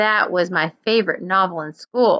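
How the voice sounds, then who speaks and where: A woman's put-on character voice, medium in pitch with ordinary pitch variation, at a moderate pace. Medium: read story.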